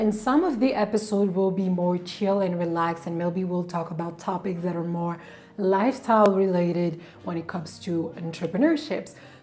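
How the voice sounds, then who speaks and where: Noticeable background noise sits under this recording. A woman speaks at a fairly low pitch with ordinary pitch variation. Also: moderate pace. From France. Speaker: entrepreneur and vlogger. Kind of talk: vlog monologue.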